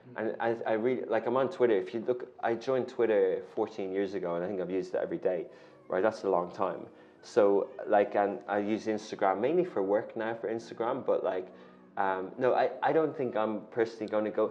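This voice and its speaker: A man speaks at a fairly quick pace with an Irish accent. His pitch varies in an ordinary way. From Ireland. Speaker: media company founder and CEO; guest. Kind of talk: interview. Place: studio. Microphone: lapel.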